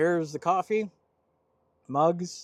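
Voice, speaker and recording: A man with an American accent speaks at a fairly slow pace in a high pitch. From Southern California. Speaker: vanlife vlogger. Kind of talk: casual vlog talk to camera. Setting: outdoors at a beach parking spot.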